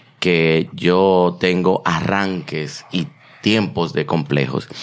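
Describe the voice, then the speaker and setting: At a very slow pace, a man speaks in a very deep, low pitch with ordinary pitch variation. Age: 30s. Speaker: podcast co-host. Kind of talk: casual chat.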